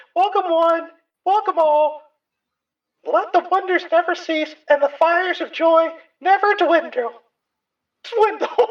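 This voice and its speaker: In a put-on character voice, extremely high-pitched and squeaky, the speaker sounds strained and goes at a fairly slow pace with long, frequent pauses. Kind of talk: grand, theatrical.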